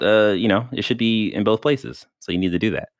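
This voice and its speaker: A man's fairly low voice carries noticeable vocal fry. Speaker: podcast host. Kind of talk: casual chat.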